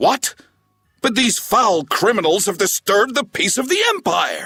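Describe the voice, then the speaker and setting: A man's put-on character voice, raised and projected at an extremely high pitch with very even loudness, over music in the background. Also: moderate pace. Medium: video game. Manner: pompous, indignant.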